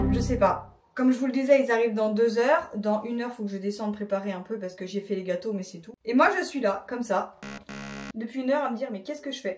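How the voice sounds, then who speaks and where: Talking very fast, a woman with a fairly high pitch shows ordinary pitch variation and big swings in loudness. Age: 30s. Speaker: vlogger. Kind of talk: casual vlog talk to camera.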